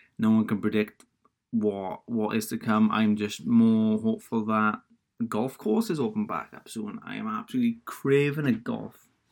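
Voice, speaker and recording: With a Welsh accent, a man talks at a moderate pace, his loudness swinging widely. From Wales. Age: 20s. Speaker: podcaster. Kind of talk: casual solo chat. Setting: home office with laptop audio. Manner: rambling, casual.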